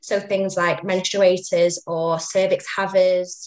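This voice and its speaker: In a Mancunian accent, a woman speaks at medium pitch with monotone, flat intonation. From northern England, Manchester. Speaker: women's rights campaigner. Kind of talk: interview.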